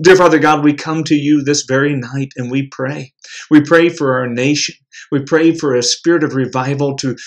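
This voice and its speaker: A moderate pace against a quiet background. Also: man. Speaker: prayer leader. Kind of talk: fervent prayer; devotional address. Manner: earnest, impassioned. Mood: earnest, devout.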